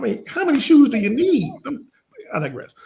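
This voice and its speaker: With a Southern US accent, a man speaks in an animated tone with very wide pitch swings. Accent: Southern US accent, from Louisiana father. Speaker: business coach. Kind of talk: interview conversation.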